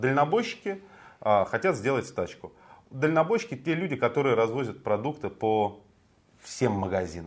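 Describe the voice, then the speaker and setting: At a moderate pace, a man with a medium pitch talks in very wide pitch swings. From Moscow, Russia. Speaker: morning political show co-host. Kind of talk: casual political talk show.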